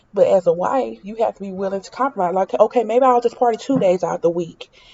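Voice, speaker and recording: A woman speaks at a medium pitch with ordinary pitch variation. It is a plain, everyday voice. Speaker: reality TV commentator. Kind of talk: casual opinion vlog.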